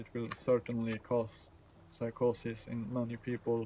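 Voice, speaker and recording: Speaking at medium pitch in a dark, mellow tone, a man with a non-native accent keeps a monotone, flat intonation. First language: not English. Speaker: gaming streamer. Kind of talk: casual chat. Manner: halting, many fillers and restarts.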